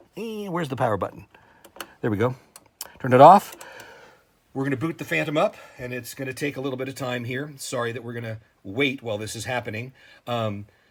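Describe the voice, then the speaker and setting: Over noticeable background noise, a man of medium pitch talks at a very fast pace with ordinary pitch variation, big swings in loudness and long, frequent pauses. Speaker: synthesizer tutorial video creator. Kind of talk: tutorial. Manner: hesitant, many fillers.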